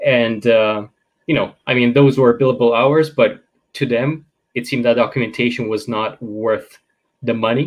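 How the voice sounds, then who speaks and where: A man speaks at a moderate pace in a Romanian accent, with medium pitch and fairly even intonation. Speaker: data governance expert. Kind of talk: interview.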